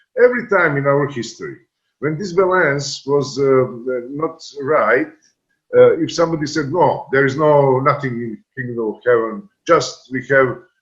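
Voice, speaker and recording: A man with a Serbian accent speaks at a moderate pace. His fairly high-pitched voice is somewhat breathy. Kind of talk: panel discussion. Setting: video call. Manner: halting.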